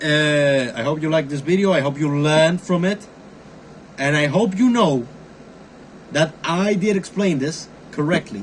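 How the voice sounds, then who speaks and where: Moderate pace with long, frequent pauses, in a non-native accent. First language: not English. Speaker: amateur YouTuber, cryptography hobbyist. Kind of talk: tutorial. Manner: casual, halting with fillers.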